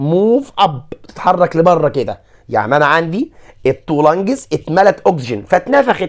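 A man with an Egyptian accent talks at a fairly slow pace, his intonation lively. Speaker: science teacher. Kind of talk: lecture.

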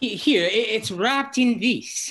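A put-on character voice, fairly bright in tone with a slightly husky edge, slow in pace with ordinary pitch variation. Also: woman.

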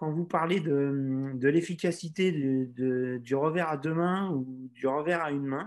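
Over a quiet background, a man speaks at a very slow pace with a fairly high pitch and ordinary pitch variation. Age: 40s. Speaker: tennis instructor. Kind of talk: webinar Q&A. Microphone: video call.

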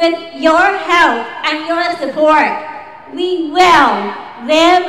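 A woman speaks at a very slow pace in a raised, projected voice. Audible room echo and light background noise surround her. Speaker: speaker. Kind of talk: public speech. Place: street. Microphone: podium.

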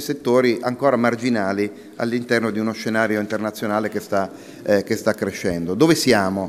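Here a man speaks at medium pitch. His pitch variation is ordinary. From northern Italy, Milan; northern Italy. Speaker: industry association president, physician. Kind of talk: conference talk. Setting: conference with audience. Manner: hesitant, many fillers. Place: hall. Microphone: podium.

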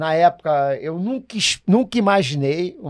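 A high-pitched man at a moderate pace, over a quiet background. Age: old. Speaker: samba composer, podcast co-host; podcast guest. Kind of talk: casual chat. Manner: halting. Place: studio. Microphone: studio mic.

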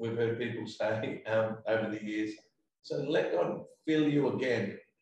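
This man talks at a fairly slow pace in a medium pitch with ordinary pitch variation, with light background noise and audible room echo. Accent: Australian. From South Australia. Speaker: pastor. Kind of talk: interview. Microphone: video call.

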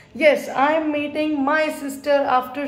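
A woman's very slow speech with audible room echo. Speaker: vlogger. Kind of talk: casual vlog chat. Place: home room. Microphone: phone near.

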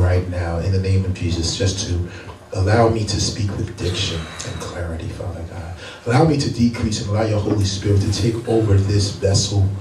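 Audible room echo and light background noise surround the speech. It moves at a fairly quick pace with ordinary pitch variation. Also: man. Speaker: pastor. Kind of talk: prayer before sermon. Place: church.

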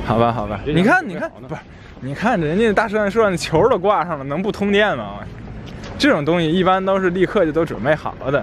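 A man with a high voice talks at a fairly quick pace, his pitch swinging very widely. The sound is dry with no echo, and there is light background noise. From Tianjin. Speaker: travel vlogger. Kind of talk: casual banter with a friend. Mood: joking, laughing. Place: street. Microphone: phone near.

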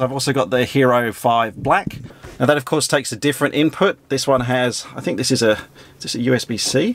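In a dry recording with no echo, a man speaks at a fairly quick pace with ordinary pitch variation. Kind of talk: tutorial. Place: plane. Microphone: phone near.

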